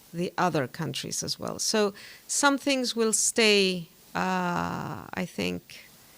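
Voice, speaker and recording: A woman with a Greek accent at a very slow pace. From Greece. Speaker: diplomat. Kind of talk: interview. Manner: hesitant, many fillers.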